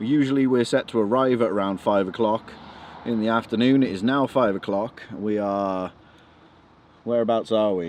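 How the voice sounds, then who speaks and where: A man with an English Midlands accent speaks at a moderate pace. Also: medium pitch for a man, ordinary pitch variation. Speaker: wrestling photographer and vlogger. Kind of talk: casual vlog chat. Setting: in a car stuck on the motorway.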